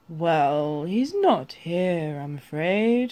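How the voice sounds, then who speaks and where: In a put-on character voice, a man speaks high and with lively intonation. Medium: read story. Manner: warm, friendly.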